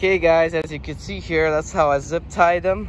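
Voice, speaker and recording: Fairly slow and fairly even in intonation, a man's speech has a dry sound with no echo and noticeable background noise. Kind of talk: casual tutorial vlog. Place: street.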